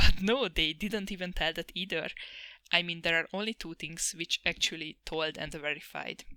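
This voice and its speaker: Speaking at a moderate pace with a non-native accent, a woman has a bright, sharp tone in a dry, close recording with no echo, very clean and with a silent background. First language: not English. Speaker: anime reviewer, vtuber. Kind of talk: sarcastic review monologue.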